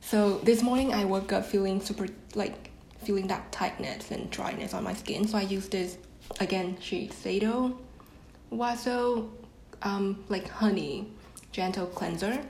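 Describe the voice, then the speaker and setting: A woman's medium-pitched voice at a fairly slow pace, fairly even in intonation, with long, frequent pauses over noticeable background noise. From Vietnam. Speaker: podcast guest, marketing intern. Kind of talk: casual chat. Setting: video call.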